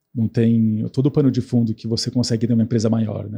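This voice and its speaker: Very fast and somewhat breathy, a man talks at medium pitch. His tone is dark and mellow. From grew up abroad, English-speaking schooling. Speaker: tech company executive. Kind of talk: podcast interview. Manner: many fillers and repetitions.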